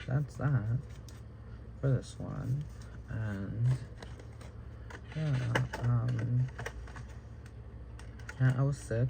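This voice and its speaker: Over noticeable background noise, a man talks at a very slow pace, leaving long, frequent pauses. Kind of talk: casual vlog talk to camera. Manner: rambling, hesitant.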